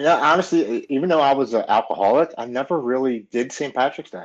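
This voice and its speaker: Speaking with a normal speaking voice at medium pitch, a man talks at a fairly quick pace with lively intonation against a quiet background. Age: 40s. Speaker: recovering alcoholic, Marine veteran. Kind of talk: casual chat.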